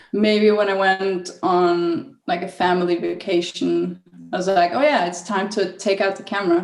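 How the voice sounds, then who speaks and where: A woman at a moderate pace, her intonation fairly even, over noticeable background noise. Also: medium pitch for a woman. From northern Italy. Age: 20s. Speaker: travel photographer. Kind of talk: interview.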